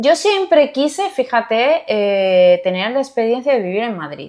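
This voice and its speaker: A woman at a high pitch with very wide pitch swings and a fairly slow pace, in a very clean recording with a silent background. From southern Spain, Jerez de la Frontera, Cádiz. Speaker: court civil servant and mentor. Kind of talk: interview conversation.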